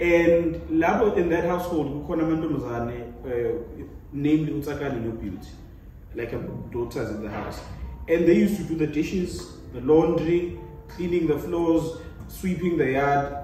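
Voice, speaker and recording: A man speaks with long, frequent pauses. Noticeable background noise and audible room echo are present. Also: fairly high pitch for a man, ordinary pitch variation, moderate pace. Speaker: panel guest. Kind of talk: casual debate.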